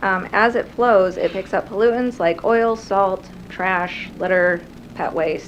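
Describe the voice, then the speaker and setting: The voice is soft-spoken, with fairly even intonation. Background noise is noticeable. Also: woman. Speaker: conservation program coordinator. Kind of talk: presentation. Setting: city council meeting room.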